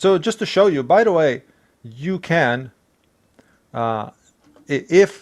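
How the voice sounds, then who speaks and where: Very slowly, with long, frequent pauses, a man with a non-native accent speaks at a fairly high pitch. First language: not English. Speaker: IT tech support worker. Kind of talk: tutorial; reading aloud. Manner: halting.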